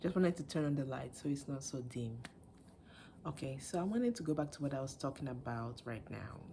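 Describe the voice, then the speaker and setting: Soft-spoken and somewhat breathy, a woman speaks at a fairly quick pace with a very deep, low pitch, a dark, mellow tone and lively intonation. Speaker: video blogger. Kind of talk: casual commentary. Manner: halting.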